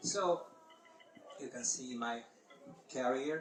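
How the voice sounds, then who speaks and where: A man speaks with a Hungarian accent. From Hungary. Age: 50s. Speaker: paragliding competition pilot and organizer. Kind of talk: presentation talk. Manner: halting.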